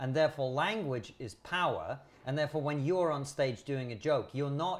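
A man with a fairly high pitch speaks at a moderate pace with ordinary pitch variation. His voice is somewhat breathy, on a very clean recording with a silent background. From Soviet Union. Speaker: comedian and podcaster. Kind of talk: casual discussion.

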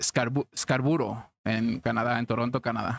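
A man with an ordinary speaking voice at medium pitch talks fairly slowly with fairly even intonation, the sound dry and close with no echo. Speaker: podcast host. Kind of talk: casual chat, storytelling.

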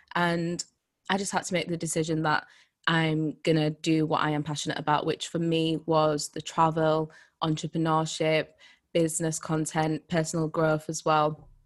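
Over a quiet background, a woman with a Yorkshire accent speaks at a moderate pace. Her pitch is very deep and low, her intonation flat and monotone. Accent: Yorkshire English, mild. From Leeds, Yorkshire, England. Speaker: personal brand coach. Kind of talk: casual interview chat.

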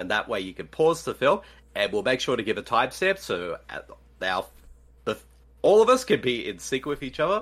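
Speaking at a moderate pace, a man with an Australian accent is heard in a very clean recording with a silent background. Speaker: podcast co-host. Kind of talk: casual chat.

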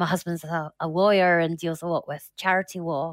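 Speaking in a Scottish accent at a moderate pace, a woman uses a fairly low pitch and monotone, flat intonation in a very clean recording with a silent background. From Scotland. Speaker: support group founder living with metastatic breast cancer. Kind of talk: interview, personal testimony.

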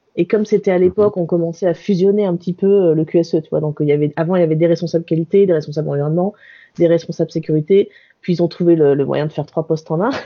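Speaking at a very fast pace, a woman uses a fairly low pitch with fairly even intonation. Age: 40s. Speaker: workplace wellbeing consultant. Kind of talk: interview.

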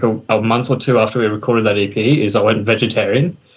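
An Australian accent with ordinary pitch variation. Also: man. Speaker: metal band musician. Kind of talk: casual interview chat. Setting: video call.

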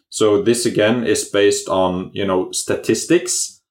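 A man talks in a Norwegian accent. The recording is very clean, with a silent background. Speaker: company CEO. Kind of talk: interview. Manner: halting, many fillers.

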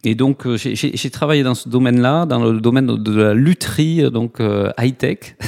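With a slight southwestern French accent, a man speaks at a fairly slow pace and medium pitch, hardly pausing, in a dry, close sound with no echo. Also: ordinary pitch variation. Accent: slight southwest French. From southwest France, Toulouse. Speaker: nonprofit co-founder. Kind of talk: interview. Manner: hesitant, many fillers.

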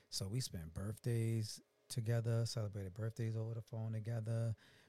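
A somewhat breathy voice with a dark, mellow tone at a moderate pace. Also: man. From New York, Brooklyn. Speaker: singer and reality TV personality. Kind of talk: casual interview chat.

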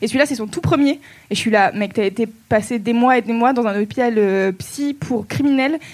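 With a slight southern French accent, a woman talks at a moderate pace with a fairly high pitch and ordinary pitch variation. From southern France. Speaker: podcast host. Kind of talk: live podcast recording with audience. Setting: stage with audience.

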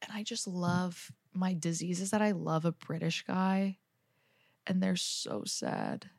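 A woman talks in an animated tone at a fairly slow pace. Her pitch is fairly low. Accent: New York. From New Jersey, Jersey Shore. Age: 20s. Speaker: comedian. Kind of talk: casual chat.

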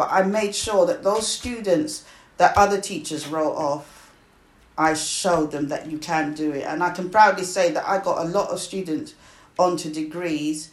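A woman speaks at a moderate pace with a British accent. Her pitch is fairly low, with ordinary variation. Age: 60s. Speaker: retired teacher. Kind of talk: family interview, life story.

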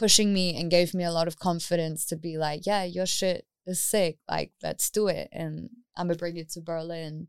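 In a New Zealand accent, a woman with a fairly low pitch speaks in a monotone, flat intonation on a very clean, dry, close recording with a silent background and no echo. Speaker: DJ and music artist. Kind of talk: interview.

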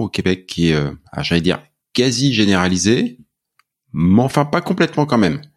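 Pitch swings very widely at a moderate pace in a very clean recording with a silent background. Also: man. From France. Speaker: podcast host. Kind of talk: casual interview.

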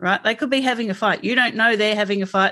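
With an Australian accent, a woman talks at a fairly quick pace in a bright, sharp tone, her medium pitch following fairly even intonation over a quiet background. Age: 50s. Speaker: health coach. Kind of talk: interview. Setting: video call.

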